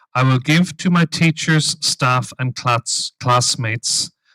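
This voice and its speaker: Dry and close with no echo, a man with an Irish accent speaks at a very slow pace, his medium pitch showing ordinary variation. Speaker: dean of a veterinary school. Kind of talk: ceremony speech, leading an oath. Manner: formal.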